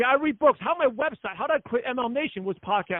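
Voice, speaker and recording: A loud man talks at a very fast pace with lively intonation. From US Northeast. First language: not English. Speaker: network marketing leader and podcast host. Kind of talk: conference call interview. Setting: conference call.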